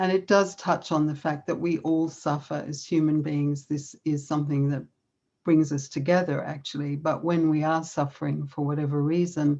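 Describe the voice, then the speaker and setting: A woman with an Australian accent, very deep, low pitch, a dark, mellow tone, monotone, flat intonation and a moderate pace. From Australia, Melbourne. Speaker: conference speaker on yoga and self-compassion. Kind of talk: conference talk.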